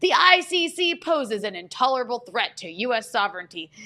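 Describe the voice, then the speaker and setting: A female-sounding voice puts on a character voice at a high pitch. It moves at a fairly quick pace with very wide pitch swings. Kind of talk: formal, official. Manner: stiff official reading.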